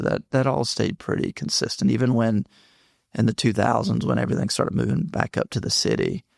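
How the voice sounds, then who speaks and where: A man with a Southern US accent talks at a fairly quick pace. The recording is very clean, with a silent background and a dry, close sound with no echo. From North Carolina (Mebane). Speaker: tech startup CEO. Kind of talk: casual interview.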